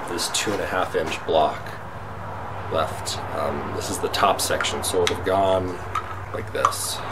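A man at a fairly slow pace, with long, frequent pauses over loud background noise. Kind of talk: casual vlog chat. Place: workshop. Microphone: phone near.

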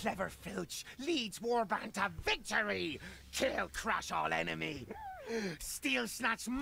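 A put-on character voice comes at a fairly slow pace. Clear background noise can be heard. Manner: boastful, gleeful.

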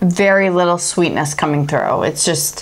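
A woman speaks in a plain, everyday voice. It sits fairly low, with ordinary pitch variation. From Chicago, US Midwest. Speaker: beer review show co-host, baker; beer review show co-host. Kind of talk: casual beer-tasting chat; reading brewery history aloud. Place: studio.

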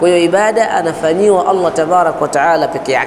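Light background noise accompanies a man talking at a fairly quick pace. His pitch varies in an ordinary way. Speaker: religious teacher. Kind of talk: religious lecture. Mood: calm, explanatory. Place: office. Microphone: lapel.

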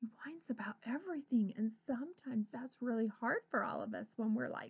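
The background is quiet as a woman talks. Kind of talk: storytelling talk to children. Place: classroom. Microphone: webcam.

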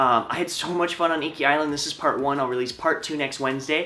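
The delivery is very fast. Intonation stays fairly even. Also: man. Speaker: travel vlogger. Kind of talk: casual vlog chat. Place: home room. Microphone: camera far.

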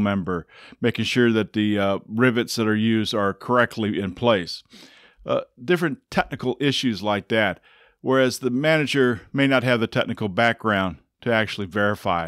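A man speaks at a moderate pace. The sound is dry with no echo, over a quiet background. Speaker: engineering course instructor. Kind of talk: lecture. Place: home room. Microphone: studio mic.

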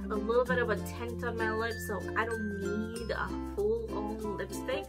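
Loud music plays in the background as a woman speaks at a fairly slow pace. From Romania. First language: Romanian. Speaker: beauty vlogger. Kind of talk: casual talk to camera. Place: home room. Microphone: camera far.

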